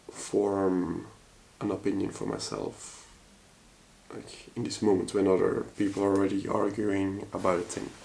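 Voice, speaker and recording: Amid noticeable background noise and audible room echo, a man speaks at a fairly slow pace in a monotone, flat intonation. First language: Dutch. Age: 30s. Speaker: vlogger. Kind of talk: personal vlog monologue. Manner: halting, hesitant with many fillers.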